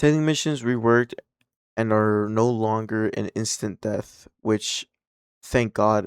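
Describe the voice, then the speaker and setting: With a non-native accent, a man talks at a fairly slow pace and medium pitch, his intonation fairly even, in a dry, close sound with no echo. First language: not English. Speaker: gaming commentator. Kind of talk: casual commentary reading news. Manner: casual, halting with repetitions.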